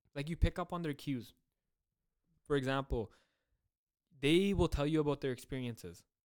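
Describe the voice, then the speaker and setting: Pitched fairly high for a man, his voice moves at a moderate pace with ordinary pitch variation and long, frequent pauses. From Surrey, British Columbia, Canada. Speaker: podcast co-host. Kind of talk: casual chat.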